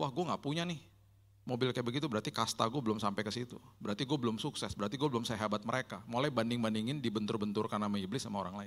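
Very fast pace from a man, quiet background behind him. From Indonesia, Manado and Indian family; Indonesia. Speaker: pastor. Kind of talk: sermon. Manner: casual. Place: hall. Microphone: handheld.

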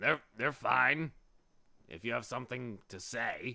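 A put-on character voice from a man, delivered at a fairly slow pace. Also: medium pitch for a man. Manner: tired, weary.

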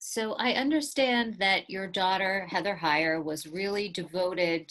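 A woman with an American accent speaks against a quiet background. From US. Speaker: museum director and interviewer. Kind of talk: interview. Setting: video call. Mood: warm, earnest. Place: home room. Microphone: earbuds.

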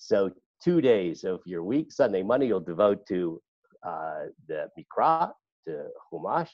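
Here a man speaks against a quiet background. The sound is dry, with no echo. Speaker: class teacher. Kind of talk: lecture. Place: home room. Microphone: video call.

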